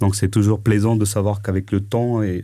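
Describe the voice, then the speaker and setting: In a very clean recording with a silent background, a man speaks in a flat monotone with a dark, mellow tone at a fairly low pitch. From France, Paris (18th arrondissement). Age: 40s. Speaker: entrepreneur. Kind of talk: interview. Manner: halting, many fillers.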